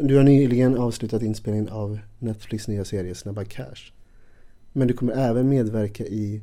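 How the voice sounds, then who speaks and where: A man's medium-pitched voice, dark and mellow in tone, at a moderate pace with fairly even intonation. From western Sweden, Ulricehamn. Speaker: podcast host, actor and teacher. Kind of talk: interview. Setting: hotel room.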